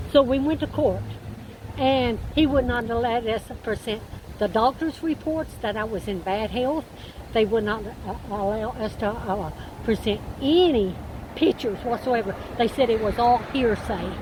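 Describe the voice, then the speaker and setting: Over noticeable background noise, a woman with an American accent speaks at a fairly slow pace, her fairly high pitch showing ordinary variation. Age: 70s. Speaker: eviction victim telling her story. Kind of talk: interview testimony.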